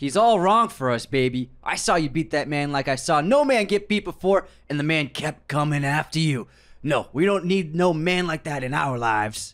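On a very clean recording with a silent background, a man puts on a raspy character voice at a fairly high pitch and moderate pace. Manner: put-on.

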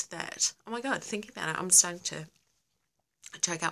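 In an Australian accent, a woman speaks with a bright, sharp tone and ordinary pitch variation against a quiet background. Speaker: livestream host; live streamer. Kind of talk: casual live Q&A. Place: home room. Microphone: phone near.

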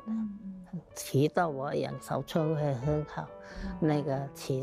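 Against clear music in the background, a woman with a very deep, low pitch talks very slowly with ordinary pitch variation in a dry sound with no echo. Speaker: Chaozhou opera performer. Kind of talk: interview answer. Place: hall.

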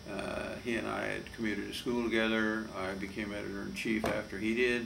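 Fairly low, monotone male voice with flat intonation at a fairly slow pace, over light background noise. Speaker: lawyer giving oral history. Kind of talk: interview answer. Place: office.

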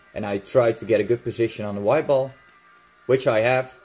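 Someone speaks with a Dutch accent. Music plays in the background. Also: man. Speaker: billiards instructor. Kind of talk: game commentary tutorial.

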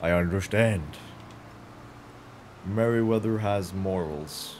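Fairly low male voice with a Norwegian accent. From Norway. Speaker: gaming streamer. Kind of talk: live gameplay stream. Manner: animated.

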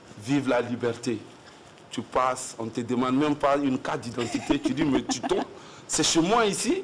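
A man talks with ordinary pitch variation and a moderate pace, and noticeable noise sits behind him. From Côte d'Ivoire, Yamoussoukro (Burkinabe family); Côte d'Ivoire. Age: young. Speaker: slam poet. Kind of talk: casual interview. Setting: TV studio. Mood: relaxed, friendly. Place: studio.

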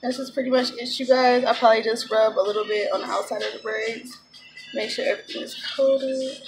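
Over music in the background, a woman talks at a very fast pace in a high pitch with fairly even intonation. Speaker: hair care vlogger. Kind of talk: casual tutorial vlog chat. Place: home room. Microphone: phone near.

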